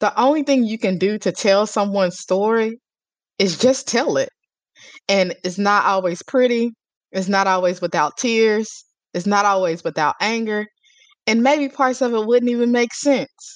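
A woman with a plain, everyday voice speaks at a fairly high pitch and a moderate pace, with ordinary pitch variation. The sound is dry and close, with no echo. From US small town. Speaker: publicist. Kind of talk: interview.

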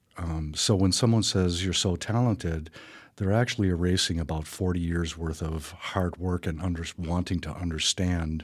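A man with an Upper Midwest accent speaks at a moderate pace in a very deep, low pitch on a very clean recording with a silent background. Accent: Upper Midwest American. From Wisconsin, Milwaukee and Wausau. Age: 60s. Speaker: painter and museum founder. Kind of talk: radio interview. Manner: hesitant, many fillers.

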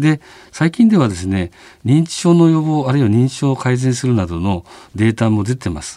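A man with a dark, mellow tone talks at a moderate pace, his pitch swinging very widely. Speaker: physician, clinic director. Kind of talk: radio interview. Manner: hesitant, many fillers.

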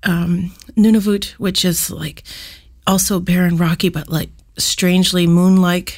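Somewhat breathy, the voice speaks at a fairly slow pace with monotone, flat intonation. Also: woman. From Canada, southwest Yukon (First Nation community). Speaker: musician. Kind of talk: interview. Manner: casual, many fillers.

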